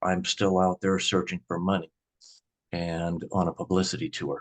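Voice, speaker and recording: Against a quiet background, a man with a Midwestern US accent talks at a fairly slow pace. His pitch is very deep and low, and the sound is dry and close with no echo. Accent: US Midwest. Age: 60s. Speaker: grocery store owner. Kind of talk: interview.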